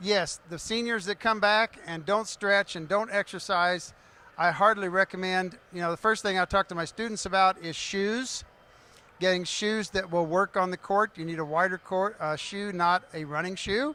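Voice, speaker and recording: In an American accent, a raised, projected voice with a bright, sharp tone moves at a moderate pace with fairly even intonation, the sound dry and close with no echo. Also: man, high pitch for a man. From Kansas City area. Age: 70s. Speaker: pickleball coach. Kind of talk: panel discussion. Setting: stage with audience.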